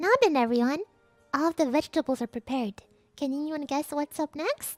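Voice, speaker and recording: A woman's put-on character voice, high in pitch with ordinary pitch variation, menacing in tone, at a fairly quick pace over faint music in the background. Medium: virtual streamer. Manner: sweet and menacing.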